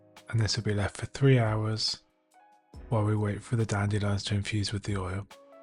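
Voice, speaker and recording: Music plays behind a man speaking at a fairly quick pace. His fairly low voice stays monotone and flat. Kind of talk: DIY tutorial narration.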